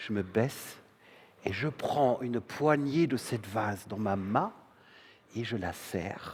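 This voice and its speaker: A man at a medium pitch, very slow pace with long, frequent pauses, and ordinary pitch variation. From northern Germany. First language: German (speaking French). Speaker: stage performer. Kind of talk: theatre monologue. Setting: stage with audience.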